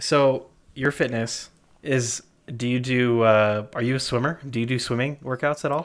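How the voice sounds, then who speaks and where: A man's normal speaking voice at a medium pitch, moderate in pace, with fairly even intonation. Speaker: podcast host. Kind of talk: casual banter. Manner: joking, playful.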